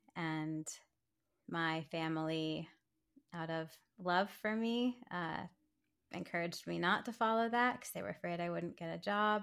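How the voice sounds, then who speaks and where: In a very clean recording with a silent background, a woman speaks fairly slowly in a fairly low voice, with ordinary pitch variation and long, frequent pauses. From Maryland, US. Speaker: art therapist. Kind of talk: interview. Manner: casual, laughing.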